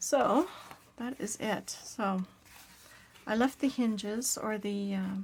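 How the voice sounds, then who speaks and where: At a very slow pace, a somewhat breathy woman speaks with long, frequent pauses. Her pitch is fairly high, with ordinary pitch variation. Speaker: crafter. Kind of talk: casual craft tutorial. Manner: chatty, relaxed.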